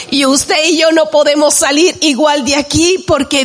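A woman's voice with ordinary pitch variation, set against noticeable background noise. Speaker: worship leader. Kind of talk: exhortation in church service. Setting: church with congregation.

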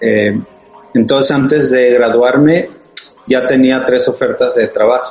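Over noticeable background noise, a man speaks at a very slow pace with very even loudness. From Sonora, northwest Mexico. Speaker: designer and studio founder. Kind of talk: casual interview chat. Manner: hesitant, repeats words.

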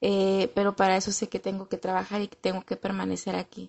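Here a woman has a plain, everyday voice at medium pitch. She speaks at a moderate pace. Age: 30s. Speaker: recovery group member sharing testimony. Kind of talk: testimony.

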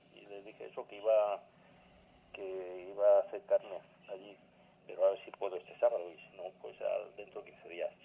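Long, frequent pauses at a moderate pace, with big swings in loudness and noticeable background noise. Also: man. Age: 50s. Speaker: patient caller. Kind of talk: casual phone chat.

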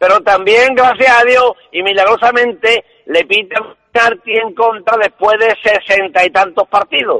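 A man speaks in a raised, projected voice at a high pitch and a fairly slow pace, with fairly even intonation and very even loudness. The sound is dry and close, with no echo. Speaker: caller, football fan. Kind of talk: casual call-in chat. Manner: halting.

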